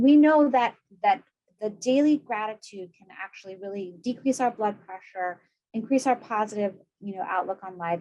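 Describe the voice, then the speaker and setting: The tone is dark and mellow, with ordinary pitch variation. Loudness swings widely from moment to moment. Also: woman, fairly high pitch for a woman. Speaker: psychiatrist presenting webinar. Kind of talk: lecture; Q&A answer. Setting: video webinar. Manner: fast.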